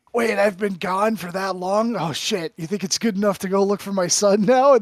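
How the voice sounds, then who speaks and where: Putting on a character voice, a man speaks at a moderate pace in a high pitch with fairly even intonation. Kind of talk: casual, with swearing. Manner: put-on comedic character voice.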